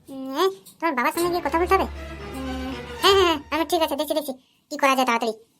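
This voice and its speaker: A cartoonish character voice rattles along at a very fast pace while faint music plays in the background. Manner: crude, blustering.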